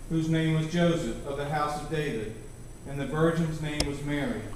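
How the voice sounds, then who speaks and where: A man at a moderate pace amid strong room echo and light background noise. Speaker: scripture reader in a choir program. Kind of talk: scripture reading and prayer. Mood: solemn, reverent. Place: church.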